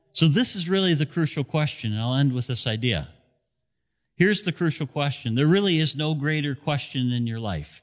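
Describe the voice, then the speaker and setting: A man's plain, everyday voice, fairly high in pitch, with lively intonation, on a very clean recording with a silent background. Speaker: pastor. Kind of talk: sermon. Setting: church with broadcast. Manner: earnest, direct altar-call appeal, slow and pleading; conversational, expository teacher.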